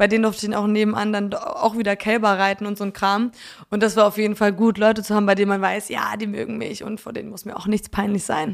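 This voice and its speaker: At a very fast pace, a woman talks in a medium-pitched voice with monotone, flat intonation. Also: big swings in loudness. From Poland and North Frisia, Germany. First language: Polish (speaking German). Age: 20s. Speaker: singer-songwriter. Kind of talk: casual interview.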